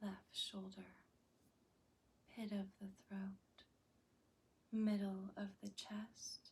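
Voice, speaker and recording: A woman speaks at a medium pitch in a calm, soothing, somewhat breathy tone. Her intonation is monotone and flat, at a very slow pace with long, frequent pauses. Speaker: yoga nidra guide. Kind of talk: guided yoga nidra body-scan meditation. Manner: slow, calm, soothing.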